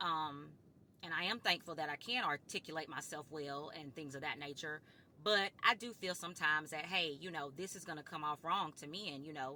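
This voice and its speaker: Her tone bright and sharp, a woman speaks at a moderate pace in a very deep, low pitch, with ordinary pitch variation and big swings in loudness. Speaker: vlogger. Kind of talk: casual monologue to camera. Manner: firm.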